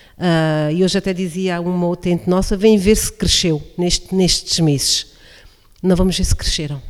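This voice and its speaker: At a moderate pace, a woman uses an ordinary speaking voice with a medium pitch and ordinary pitch variation. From Portugal, Alto Alentejo. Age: 40s. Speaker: coordinator of a social project for older people. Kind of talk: radio interview. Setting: radio broadcast from incubator premises, masks and distancing.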